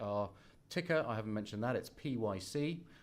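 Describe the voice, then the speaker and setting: This is a man speaking with a British accent. His pitch is medium, with ordinary variation. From England. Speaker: company finance executive. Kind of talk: investor presentation. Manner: halting, many fillers.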